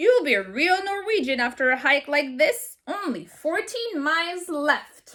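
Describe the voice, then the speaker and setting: A gruff, put-on character voice from a woman, high-pitched, with very wide pitch swings, at a moderate pace. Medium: read story. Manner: teasing and warm.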